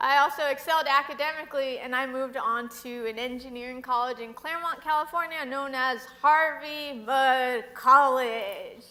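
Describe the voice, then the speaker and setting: A woman's raised, projected voice, high-pitched with a bright, sharp tone, at a moderate pace, with ordinary pitch variation and big swings in loudness. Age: 20s. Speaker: public speaker on mental illness. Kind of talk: talk to an audience.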